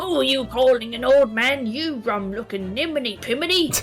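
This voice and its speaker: A put-on character voice, female-sounding and gravelly, pitched high for a woman, at a moderate pace over clear music in the background. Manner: indignant, huffy.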